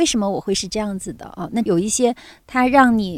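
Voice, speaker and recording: A woman talks fairly quickly with lively intonation and a fairly high pitch. The recording is very clean, with a silent background. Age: 50s. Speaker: kindergarten founder and teacher. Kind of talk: casual chat. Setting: outdoors on a farm.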